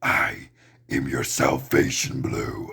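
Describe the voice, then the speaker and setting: A man growls in a put-on character voice at medium pitch, his tone menacing. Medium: read story.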